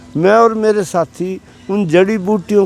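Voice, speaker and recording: Recorded dry and close with no echo, a man speaks with fairly even intonation. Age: 80s+. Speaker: park walker and ayurveda enthusiast. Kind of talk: casual interview. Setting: outdoors in a park.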